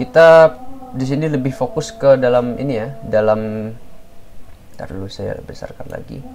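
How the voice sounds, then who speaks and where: A man at a medium pitch and fairly slow pace, with lively intonation, big swings in loudness, and music in the background. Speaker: cybersecurity tutorial creator. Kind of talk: tutorial. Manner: hesitant, many fillers; casual.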